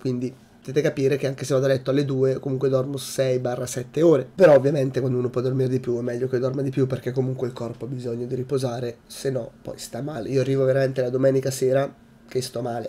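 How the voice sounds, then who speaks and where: Man at a medium pitch, very fast, in a monotone, flat intonation. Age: 20s. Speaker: YouTuber. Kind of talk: vlog monologue. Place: home room. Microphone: webcam.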